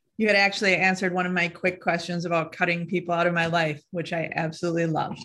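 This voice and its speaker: Very fast, monotone, flat female speech at a fairly low pitch, bright and sharp in tone, against a quiet background. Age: 40s. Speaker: actor and membership participant. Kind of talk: coaching call, asking questions. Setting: live online video call.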